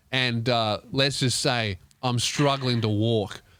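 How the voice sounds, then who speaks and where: Speaking very slowly, a man with an Australian accent holds a medium pitch. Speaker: comedian. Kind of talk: comedic advice podcast, reading listener letter. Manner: animated.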